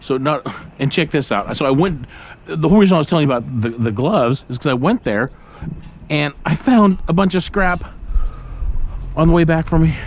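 With lively intonation and a dry sound with no echo, a man talks at a fairly quick pace. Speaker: scrap collector vlogger. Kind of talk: casual vlog chat. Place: street. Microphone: phone near.

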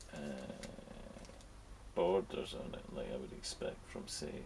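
A man whispering at a fairly slow pace. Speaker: scale model hobbyist. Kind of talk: casual unboxing commentary. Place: workshop.

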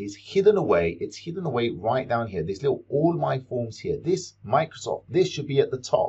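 The man speaks against a quiet background. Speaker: teacher making a software tutorial. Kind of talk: tutorial.

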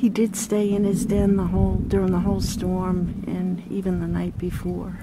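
A woman speaks at a fairly slow pace, her voice dry with no echo over loud background noise. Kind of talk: field narration. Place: forest. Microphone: phone near.

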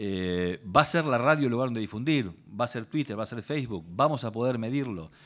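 A man speaks fairly quickly with lively intonation, and the background is quiet. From Argentina. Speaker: lawyer, intellectual property specialist, speaker; speaker, lawyer. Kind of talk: workshop talk. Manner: hesitant, repeats words. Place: hall. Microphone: podium.

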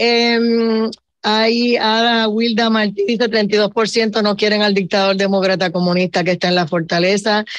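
A woman speaks in a normal speaking voice at a fairly slow pace and fairly high pitch, with fairly even intonation and very even loudness, in a dry sound with no echo and a quiet background. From Puerto Rico. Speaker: radio show host. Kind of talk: radio talk show moderation. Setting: radio studio broadcast. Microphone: video call.

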